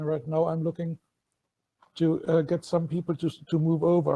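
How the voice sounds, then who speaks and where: A man with a German accent speaks at a moderate pace in a fairly high, dark, mellow voice with monotone, flat intonation and a dry, close sound without echo. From Germany. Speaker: tabletop roleplaying player and writer. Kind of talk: casual self-introduction.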